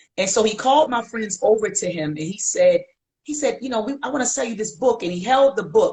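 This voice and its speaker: A woman's fairly high, somewhat breathy voice in a Baltimore accent at a moderate pace. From Baltimore, US. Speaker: historian featured in documentaries. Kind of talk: casual interview on livestream. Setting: video livestream.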